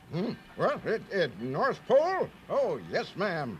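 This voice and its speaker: A man in a put-on character voice at a fairly slow pace, with clear background noise. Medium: read story.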